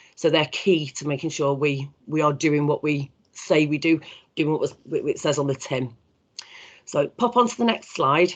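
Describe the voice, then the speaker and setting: This is a put-on character voice, raspy and at a middle pitch. It moves at a moderate pace. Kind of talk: business presentation. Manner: talking very fast.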